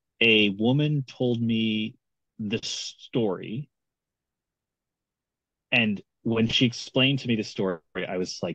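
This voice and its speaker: A man's bright, sharp tone at a fairly slow pace, with ordinary pitch variation, dry sound with no echo and a quiet background. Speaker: guest. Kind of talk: interview answer. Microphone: video call.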